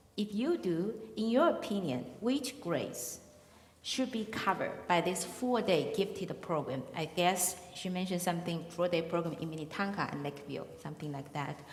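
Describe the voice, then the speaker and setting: A woman with a Chinese accent speaks with lively intonation at a fairly low pitch. Audible room echo and noticeable background noise are present. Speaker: forum moderator. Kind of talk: moderating questions. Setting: public forum with audience. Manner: slow.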